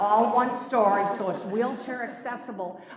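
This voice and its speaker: The speaker has an American accent and talks at a moderate pace with fairly even intonation. There is audible room echo and noticeable background noise. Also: woman. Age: 70s. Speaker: retired nurse, resident speaking at public hearing. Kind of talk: public comment at hearing. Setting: village plan commission meeting, PA microphone. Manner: halting, with many fillers and restarts.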